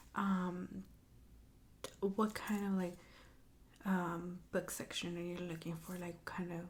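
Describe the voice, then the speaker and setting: Soft-spoken and somewhat breathy, a woman talks very slowly in a dark, mellow tone. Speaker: bookstore clerk (roleplay). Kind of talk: ASMR roleplay.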